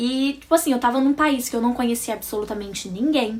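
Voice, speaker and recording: Noticeable background noise sits behind an animated tone. The delivery is fairly quick, with lively intonation. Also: woman. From Brazil. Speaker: vlogger. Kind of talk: casual storytelling vlog.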